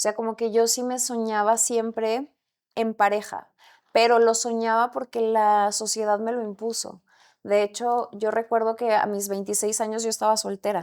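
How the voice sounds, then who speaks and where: In a very clean recording with a silent background, a woman talks at a moderate pace in a fairly high pitch with monotone, flat intonation. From Mexico, Camargo, Chihuahua. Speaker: actress. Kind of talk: casual chat.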